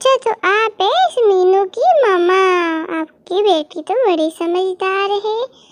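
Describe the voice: A woman's squeaky, cartoonish character voice at an extremely high pitch and a fairly slow pace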